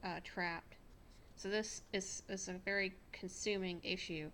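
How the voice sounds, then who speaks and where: The speaker has an American accent. Delivery is very slow, with monotone, flat intonation. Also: woman. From North Carolina. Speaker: tarot reader. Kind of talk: tarot reading to camera.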